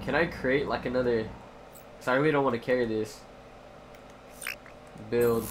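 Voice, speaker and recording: Noticeable background noise sits behind a man of medium pitch. He moves at a moderate pace with long, frequent pauses. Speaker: streamer. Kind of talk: casual gaming live stream commentary.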